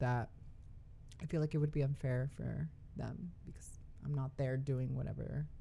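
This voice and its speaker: A woman speaks at a moderate pace in a very deep, low voice with a dark, mellow tone. Her intonation stays flat and monotone. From Texas, Dallas. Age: 20s. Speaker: drag performer. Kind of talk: casual chat.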